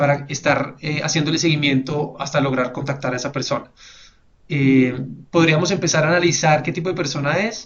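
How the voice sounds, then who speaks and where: A somewhat breathy voice speaks at a fairly quick pace with fairly even intonation. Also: man. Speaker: webinar presenter. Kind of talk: webinar presentation. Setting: online webinar. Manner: fast; hesitant fillers.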